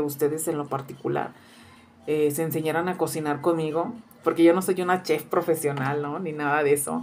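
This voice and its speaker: The speaker keeps a moderate pace and fairly even intonation. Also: woman. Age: 40s. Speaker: cooking youtuber. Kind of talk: casual vlog introduction. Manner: halting with many fillers. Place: kitchen. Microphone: phone near.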